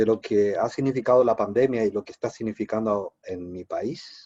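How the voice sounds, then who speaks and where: In a dry, close recording with no echo, a man with a Paraguayan accent speaks at a fairly slow pace, his medium-pitched voice dark and mellow in tone. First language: Guarani (speaking Spanish). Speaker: philosophy professor. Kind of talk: academic talk.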